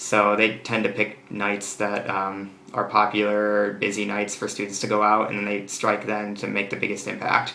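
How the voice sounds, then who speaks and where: In an American accent, a man with a fairly low pitch talks amid audible room echo and noticeable background noise. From United States. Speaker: exchange student vlogger. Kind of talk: casual vlog monologue. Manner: hesitant, many fillers.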